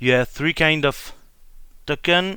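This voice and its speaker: Recorded very cleanly against a silent background, a man with a French accent talks at a fairly high pitch with lively intonation. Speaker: board game YouTuber. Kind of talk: tutorial. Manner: halting.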